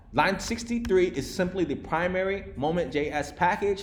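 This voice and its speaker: A man's lively intonation with audible room echo. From Vietnam. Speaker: programming instructor. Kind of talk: live coding lecture to a class. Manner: fast; casual, filler-heavy.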